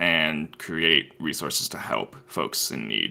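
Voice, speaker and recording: Vocal fry runs through this man's voice. His tone is bright and sharp. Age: 30s. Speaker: hotline coordinator. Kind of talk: podcast interview. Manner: casual, hesitant with fillers.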